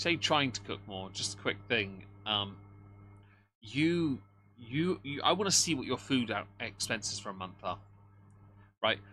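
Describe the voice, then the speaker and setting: With a southern English accent, a man speaks at a fairly slow pace in a fairly low pitch, using lively intonation, vocal fry and a bright, sharp tone, leaving long, frequent pauses on a very clean recording with a silent background. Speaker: livestream commentator. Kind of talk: casual livestream chat. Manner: animated.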